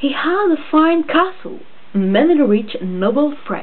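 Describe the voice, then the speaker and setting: A woman's voice swings very widely in pitch. Noticeable background noise and audible room echo are present. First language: not English. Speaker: storyteller. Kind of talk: reading aloud.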